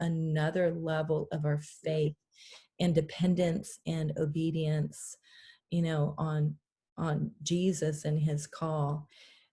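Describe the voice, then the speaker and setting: A woman with a very deep, low pitch and a somewhat breathy voice speaks very slowly in a flat, monotone way. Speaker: pastor. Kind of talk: interview conversation.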